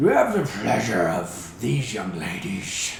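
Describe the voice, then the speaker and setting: A raspy, put-on character voice from a man, very deep and low in pitch, at a fairly slow pace with a slight echo. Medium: actual play. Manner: awkward, trying to be formal.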